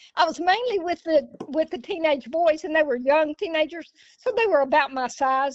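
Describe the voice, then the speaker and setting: A woman with an Alabama accent speaks at a moderate pace in a high pitch with ordinary pitch variation. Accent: Southern US, Alabama. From US South. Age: 70s. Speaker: jiu-jitsu practitioner. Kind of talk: casual chat.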